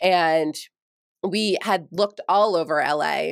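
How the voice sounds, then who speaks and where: In a plain, everyday voice, a woman speaks at a fairly low pitch with ordinary pitch variation, recorded dry and close with no echo against a very clean, silent background. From New York. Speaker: former TV news anchor, podcast coach. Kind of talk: casual interview chat.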